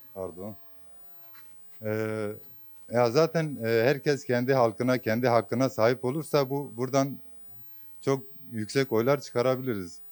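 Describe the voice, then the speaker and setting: A man talking at a fairly slow pace, with long, frequent pauses. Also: medium pitch for a man, ordinary pitch variation. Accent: Kurdish. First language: Kurdish (speaking Turkish). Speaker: voter interviewed on the street. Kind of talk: street interview. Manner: hesitant, many fillers.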